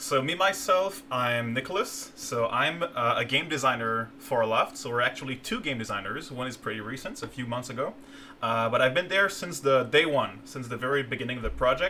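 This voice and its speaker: Noticeable background noise accompanies a man with a French Canadian accent who talks at a fairly quick pace with hardly any pauses, a medium pitch and lively intonation. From Quebec, Canada. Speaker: game designer. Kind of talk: live stream gameplay commentary. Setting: live stream. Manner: halting, many fillers.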